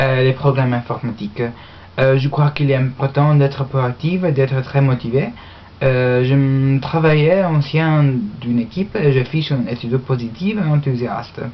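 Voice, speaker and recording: Moderately paced speech from a woman, very deep and low in pitch, with ordinary pitch variation. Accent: English. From Australia. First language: English (speaking French). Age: young. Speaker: university language student. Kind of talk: mock job application speech. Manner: halting, many hesitations.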